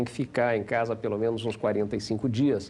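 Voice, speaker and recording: Against a quiet background, a man speaks at a moderate pace. His medium-pitched voice has a dark, mellow tone. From Paraná, Brazil. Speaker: business executive. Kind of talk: interview.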